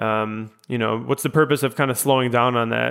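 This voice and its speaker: An ordinary speaking voice at a moderate pace. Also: man. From US Midwest, Chicago. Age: 20s. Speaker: podcast host. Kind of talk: casual interview chat.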